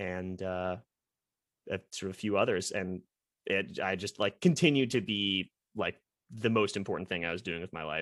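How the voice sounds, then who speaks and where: Speaking with a Midwestern US accent, a man with a fairly low pitch and fairly even intonation takes long, frequent pauses in a very clean recording with a silent background and a dry, close sound with no echo. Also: moderate pace. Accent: General American, Midwestern. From US Midwest, Columbus, Ohio. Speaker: semi-pro ultimate frisbee player. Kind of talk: podcast interview. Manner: talkative.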